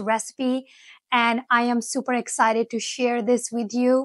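Against a quiet background, a woman speaks in a high pitch at a fairly slow pace, her intonation monotone and flat, with a dry sound and no echo. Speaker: food vlogger. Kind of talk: casual vlog chat. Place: home room. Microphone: lapel.

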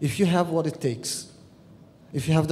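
A man with an Arabic accent, a dark, mellow, somewhat breathy tone, a fairly quick pace and fairly even intonation. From Egypt. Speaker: peace activist and columnist. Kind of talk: conference panel talk. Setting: stage with audience. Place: hall. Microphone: podium.

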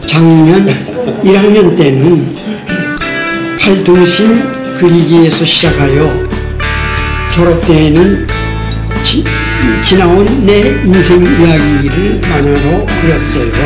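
A man at a very slow pace with long, frequent pauses, and clear music in the background. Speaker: senior cartoonist student; vietnam war veteran. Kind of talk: interview answer. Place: classroom. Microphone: camera far.

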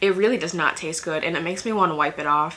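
A woman speaks with pitch that varies in an ordinary way. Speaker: beauty vlogger. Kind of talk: casual vlog chat. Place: home room.

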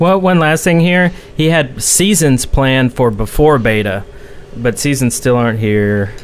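Over light background noise, a man with a medium pitch speaks at a fairly slow pace and keeps his loudness very even. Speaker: podcast co-host. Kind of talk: casual chat. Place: home room. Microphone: studio mic.

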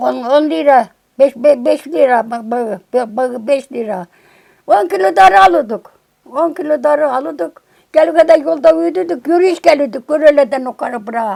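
A woman talks at a fairly slow pace with a dark, mellow tone and a high pitch. Her intonation is lively. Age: 80s+. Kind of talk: interview answer.

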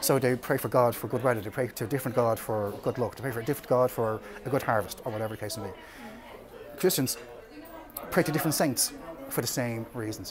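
A man with an Irish accent at a very fast pace, over noticeable background noise. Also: medium pitch for a man, ordinary pitch variation. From Ireland. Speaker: storyteller. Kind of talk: informal history talk. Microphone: phone near.

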